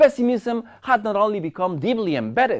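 Spoken with a Spanish accent, this is a very clean recording with a silent background. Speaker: media studies professor. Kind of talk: lecture. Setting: seminar room with audience. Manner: halting.

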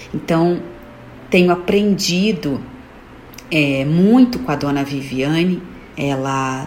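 Speaking at a very slow pace, a woman with a fairly low pitch and ordinary pitch variation is heard with audible room echo and noticeable background noise. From São Paulo, Brazil. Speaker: listener. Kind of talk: testimony.

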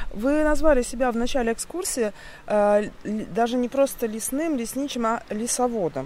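Speaking at a fairly slow pace, a woman uses a high pitch. Her intonation is lively. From Russia, Kaliningrad. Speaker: podcast host. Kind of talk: scripted narration.

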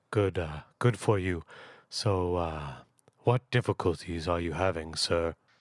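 A man with a very deep, low pitch at a fairly slow pace, long and frequent pauses, and a dry, close sound with no echo over a quiet background. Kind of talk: radio call-in show host. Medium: comedy sketch. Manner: pompous, polite, formal.

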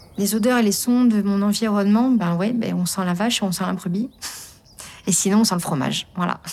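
Against noticeable background noise, a woman with a medium pitch speaks at a fairly quick pace with fairly even intonation. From Lorraine, France. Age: young. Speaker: farmer. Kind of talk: interview.

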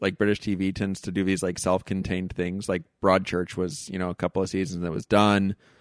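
A man with a plain, everyday voice talks at a fairly quick pace in a fairly low pitch. The sound is dry and close with no echo, and the background is quiet. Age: 40s. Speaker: psychoanalyst and podcaster. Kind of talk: casual interview.

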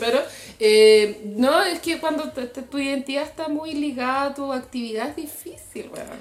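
Against noticeable background noise, a woman with a high pitch talks at a moderate pace, with ordinary pitch variation and big swings in loudness. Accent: Chilean. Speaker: podcast co-host. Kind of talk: casual chat.

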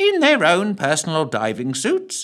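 A nasal, put-on character voice at a fairly slow pace. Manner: long-winded, fussy.

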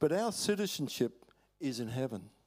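Recorded very cleanly against a silent background, a man with an Australian accent speaks at a moderate pace. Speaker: preacher, former missionary. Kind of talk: sermon. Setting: church.

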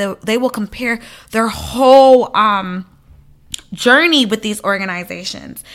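An ordinary speaking voice with an American accent, moving at a moderate pace with ordinary pitch variation, on a very clean recording with a silent background. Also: woman. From US South, Atlanta (Liberian family). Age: 20s. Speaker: ministry founder. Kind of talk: interview testimony.

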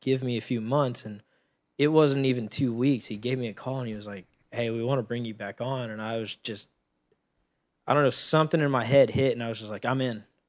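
A man with an American accent speaks at a fairly quick pace in an unremarkable speaking voice, his medium pitch carried on fairly even intonation while his loudness swings widely. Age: 20s. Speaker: live sound engineer. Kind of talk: casual chat. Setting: kitchen table at home.

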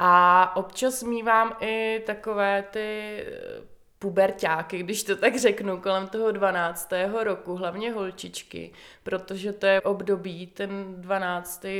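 On a very clean recording with a silent background, a woman of medium pitch speaks very slowly in a bright, sharp tone with monotone, flat intonation. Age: 30s. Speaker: psychologist and peer consultant. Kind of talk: interview.

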